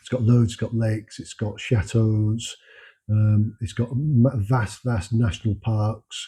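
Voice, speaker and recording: A man's dark, mellow, somewhat breathy voice in a monotone, flat delivery, in a very clean recording with a silent background. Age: 60s. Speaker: home renovator, former construction worker. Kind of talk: casual monologue to camera. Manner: halting, many fillers.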